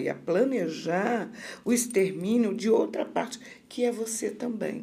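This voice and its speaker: In a room with audible echo, a woman with a fairly high pitch speaks with vocal fry. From Rio de Janeiro, Brazil. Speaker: occupational therapy professor. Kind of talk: interview on mental health.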